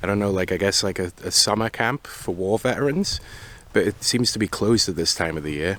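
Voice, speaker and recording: A man speaks in a plain, everyday voice with fairly low pitch. His pace is moderate. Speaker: bike touring vlogger. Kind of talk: travel vlog narration. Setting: outdoors at abandoned racetrack.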